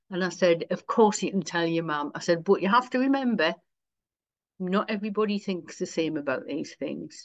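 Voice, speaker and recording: A woman talks in a Wearside accent at a medium pitch. Her intonation is lively and her pace moderate. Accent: Wearside (Sunderland) English. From Sunderland, north-east England. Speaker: minister, priest. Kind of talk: casual interview chat.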